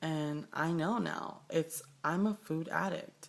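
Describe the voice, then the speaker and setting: A woman's very deep, low voice with an American accent and fairly even intonation. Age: 20s. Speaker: vlogger. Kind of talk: personal video diary. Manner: halting, with many fillers.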